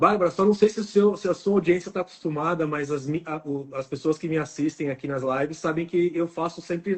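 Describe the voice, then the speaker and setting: A man with ordinary pitch variation. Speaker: oral and maxillofacial surgeon. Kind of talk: live stream interview. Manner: fast.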